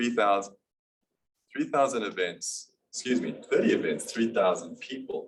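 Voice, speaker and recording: A man speaks at a moderate pace with a South African accent. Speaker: business presenter. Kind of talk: business presentation.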